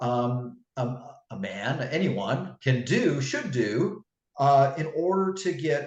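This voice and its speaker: With lively intonation and a somewhat breathy voice, a man talks at a very slow pace in a fairly high pitch. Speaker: fitness coach and author. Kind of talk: interview.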